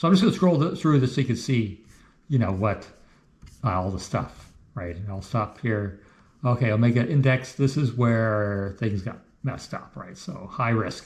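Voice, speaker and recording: A man's somewhat breathy voice, medium in pitch, with lively intonation at a moderate pace. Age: 60s. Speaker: health vlogger, amateur cyclist. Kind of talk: casual talk walking through his blood test results. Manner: casual, halting with many fillers.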